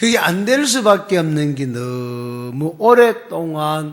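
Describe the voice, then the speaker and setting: A man with a strong Gyeongsang accent, fairly high in pitch, with very wide pitch swings, over noticeable background noise. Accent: strong Gyeongsang dialect pronunciation. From Gyeongsang region, South Korea. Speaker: pastor. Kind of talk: sermon.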